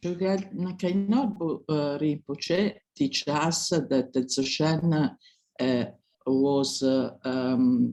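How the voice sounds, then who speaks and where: The words come very slowly, spoken with a non-native accent. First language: not English. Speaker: dharma student. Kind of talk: group discussion. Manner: halting.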